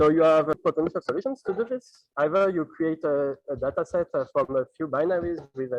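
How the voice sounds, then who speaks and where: A man with a French accent talks at a fairly high pitch with hardly any pauses and ordinary pitch variation, the sound dry and close with no echo. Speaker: PhD student researcher. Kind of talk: conference talk. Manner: halting.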